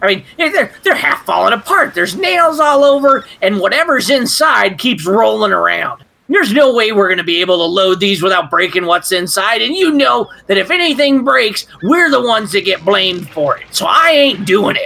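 At a moderate pace and with hardly any pauses, a man uses a high-pitched, put-on character voice. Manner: gruff, defiant.

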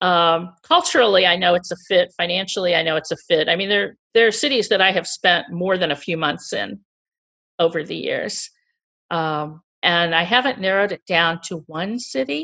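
Against a quiet background, a woman speaks with a bright, sharp tone. Her pitch is fairly low, with ordinary pitch variation. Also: moderate pace. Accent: American. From US Midwest, Missouri (St. Louis). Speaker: former executive turned chef. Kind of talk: interview.

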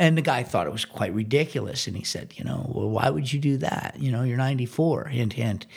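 Speaking at a fairly quick pace with hardly any pauses, a man talks in a somewhat breathy, medium-pitched voice with lively intonation. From Washington, D.C. area. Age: 60s. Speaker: drummer. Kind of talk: casual chat.

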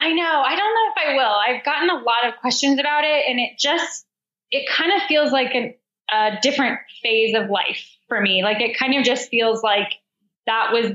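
With an American accent, a woman speaks at a moderate pace and high pitch. Her intonation is lively and her loudness very even. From Denver, Colorado, US. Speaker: elite marathon runner and running coach. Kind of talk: interview.

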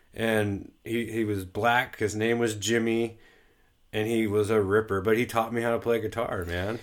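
In a very clean recording with a silent background, a man with an American accent and medium pitch talks at a moderate pace in a monotone, flat delivery. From Southern California. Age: 30s. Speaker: podcast guest sharing life story. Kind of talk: casual chat.

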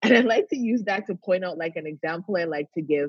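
A woman talks at a moderate pace. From Canada. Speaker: wellness coach. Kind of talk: interview.

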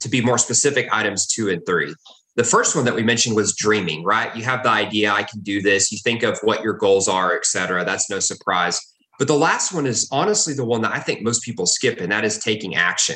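A man with a fairly low pitch talks at a fairly quick pace in a bright, sharp tone. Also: ordinary pitch variation. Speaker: real estate investor, former aerospace engineer. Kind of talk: interview.

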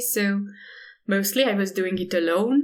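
At a fairly slow pace, the speaker talks with ordinary pitch variation. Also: woman. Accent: Hungarian. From Hungary. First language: Hungarian. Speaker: artist and environmental activist. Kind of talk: interview.

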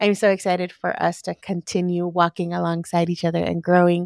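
Recorded very cleanly against a silent background, with a dry, close sound and no echo, a woman speaks at a fairly low pitch with an American accent. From Los Angeles, US (Lynwood, South LA). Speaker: entrepreneur and photographer. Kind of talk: interview conversation.

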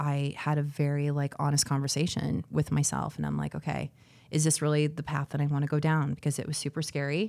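A woman's very deep, low voice with a dark, mellow tone, an American accent and monotone, flat intonation. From Arizona, Phoenix area. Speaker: matchmaker. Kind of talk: casual interview.

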